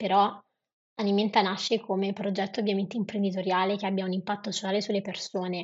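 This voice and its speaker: A woman speaks at a very fast pace in a medium pitch. Her voice is somewhat breathy. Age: 20s. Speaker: non-profit founder. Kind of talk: interview.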